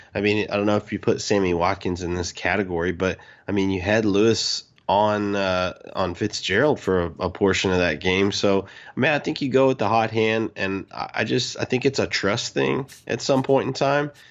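This man has a plain, everyday voice, a fairly low pitch and ordinary pitch variation, speaking at a moderate pace. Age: 30s. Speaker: podcast co-host, football fan. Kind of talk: casual chat.

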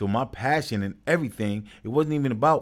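Fairly quick speech from a man with a New York accent, medium pitch and ordinary pitch variation. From New York, Brooklyn. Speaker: youth sports coach and program founder. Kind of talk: casual interview.

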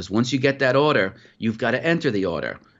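Against a quiet background, a man with an American accent talks in a normal speaking voice at a moderate pace with ordinary pitch variation. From New York (Putnam County). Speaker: futures trader. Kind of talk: interview.

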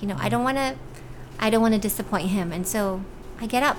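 A woman rattles along at a very fast pace, and noticeable background noise is heard behind her. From Hawaii, raised from age ten; born in Cebu, Philippines. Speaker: author and TV weather presenter. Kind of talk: casual interview. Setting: podcast studio.

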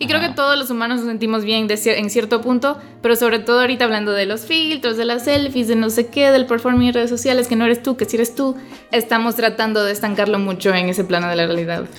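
A woman speaks at a very fast pace with a fairly high pitch. Her pitch moves in an ordinary way, and there is noticeable background noise. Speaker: podcast host and writer. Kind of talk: casual chat. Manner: sometimes loud.

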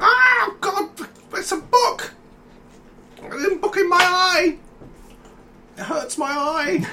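In a put-on character voice, the speaker growls at an extremely high pitch. The pace is very slow, with long, frequent pauses. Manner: growling, in pain.

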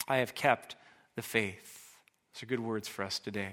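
A man with an American accent speaks at a fairly quick pace and a medium pitch. His tone is bright and sharp, with fairly even intonation. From US Pacific Northwest, Washington. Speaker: pastor. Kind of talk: sermon.

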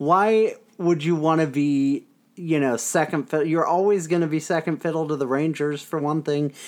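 A man with an unremarkable speaking voice and fairly high pitch. His intonation is fairly even, over a quiet background. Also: moderate pace. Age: 20s. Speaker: hockey podcast host. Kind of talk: casual chat. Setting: home recording.

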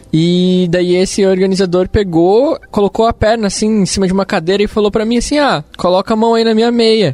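The man's pitch is high, and his pace is fairly quick with hardly any pauses. His loudness stays very even. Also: ordinary pitch variation. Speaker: software company employee. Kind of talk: casual chat.

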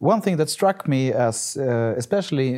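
A dark, mellow tone with lively intonation and a Swedish accent. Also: man, very clean recording, silent background. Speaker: podcast interviewer. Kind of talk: interview.

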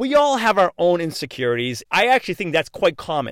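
Upbeat and enthusiastic, the voice sounds dry and close with no echo in a very clean recording with a silent background. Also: man. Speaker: motivational podcast host. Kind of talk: motivational monologue. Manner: fast talker; upbeat, enthusiastic.

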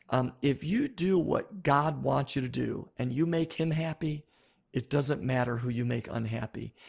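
American-accented man, medium-pitched and somewhat breathy, with ordinary pitch variation, a moderate pace, and a very clean recording with a silent background. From US Northeast, Buffalo, New York. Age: 50s. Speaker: pastor and author. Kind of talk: interview.

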